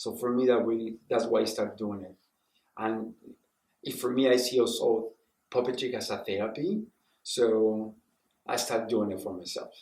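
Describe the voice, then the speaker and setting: The speaker moves at a moderate pace with fairly even intonation and long, frequent pauses. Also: man, medium pitch for a man. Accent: Spanish. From Mexico. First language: Spanish. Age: 60s. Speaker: puppeteer and professor. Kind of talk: interview. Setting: TV news interview.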